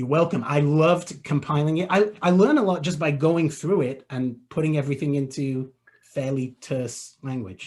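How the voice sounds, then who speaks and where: Somewhat breathy, a man talks at a fairly high pitch and moderate pace with ordinary pitch variation. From England. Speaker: web marketing expert. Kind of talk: webinar Q&A.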